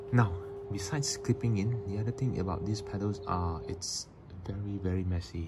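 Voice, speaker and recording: With noticeable background noise behind him, a man speaks at a fairly low pitch and a fairly quick pace with ordinary pitch variation. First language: not English. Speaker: cyclist. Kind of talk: product review to camera. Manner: hesitant, many fillers.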